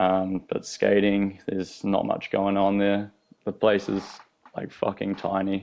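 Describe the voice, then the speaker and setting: A man with a New Zealand accent, fairly low in pitch, at a fairly slow pace with monotone, flat intonation. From New Zealand, South Island. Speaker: professional skateboarder. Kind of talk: casual interview chat. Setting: podcast studio.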